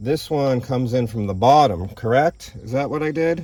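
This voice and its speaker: Keeping a fairly slow pace, a man talks at medium pitch with ordinary pitch variation. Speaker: car repair video host. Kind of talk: tutorial. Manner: animated.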